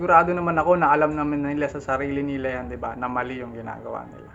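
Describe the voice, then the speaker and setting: With noticeable background noise behind him, a man speaks at a fairly quick pace and a fairly high pitch. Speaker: YouTube reaction vlogger. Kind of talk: reaction video commentary. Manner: animated.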